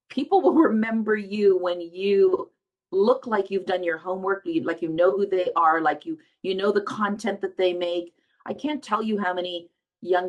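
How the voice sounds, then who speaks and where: With an animated tone, a woman speaks at a moderate pace and medium pitch, her pitch varying in an ordinary way. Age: 60s. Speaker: film festival founder. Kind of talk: interview.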